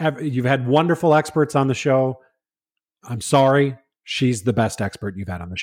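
A man with an American accent, an ordinary speaking voice, medium pitch and ordinary pitch variation, at a moderate pace with big swings in loudness, in a very clean recording with a silent background. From Minnesota. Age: 40s. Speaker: podcast guest, friend of hosts. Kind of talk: casual chat.

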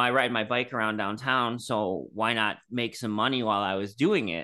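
A man speaks with an American accent in a bright, sharp tone. Behind him the background is quiet. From Michigan, US. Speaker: bicycle delivery business owner. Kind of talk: interview. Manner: halting, many fillers.

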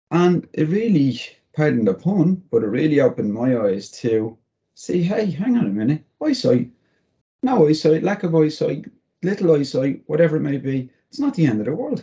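Moving at a moderate pace, a man with a fairly high pitch makes very wide pitch swings. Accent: Dublin. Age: 40s. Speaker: motivational speaker and comedian. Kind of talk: interview.

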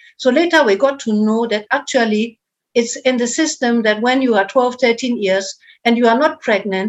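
Speaking with a German accent, a woman keeps a moderate pace and ordinary pitch variation. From northern Germany. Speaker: charity founder. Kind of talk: interview.

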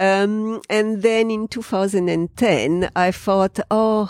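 A woman with a French accent speaks at a very slow pace. The recording is very clean with a silent background and a dry, close sound with no echo. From France. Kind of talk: interview. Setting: in person at her home. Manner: halting.

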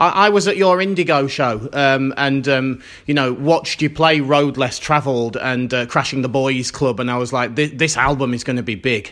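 At a moderate pace with hardly any pauses, a man with a British accent speaks at a medium pitch and ordinary pitch variation. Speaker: podcast host. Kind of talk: interview.

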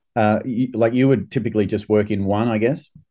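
Against a quiet background, a man with an Australian accent speaks in a fairly low, dark, mellow voice with fairly even intonation. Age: 50s. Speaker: urologist and surgeon. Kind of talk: podcast interview. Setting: remote call from abroad. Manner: halting, many filler words.

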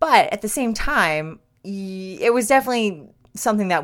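Over a silent background in a very clean recording, a woman has an ordinary speaking voice. Her intonation is lively and her pace moderate. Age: 30s. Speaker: podcast host. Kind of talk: casual solo monologue. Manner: laughs often.

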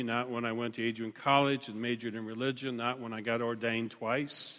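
A man's voice, bright and sharp in tone, comes at a medium pitch and a fairly quick pace. The intonation is monotone and flat, and the recording is very clean with a silent background. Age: 60s. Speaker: pastor. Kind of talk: sermon. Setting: church.

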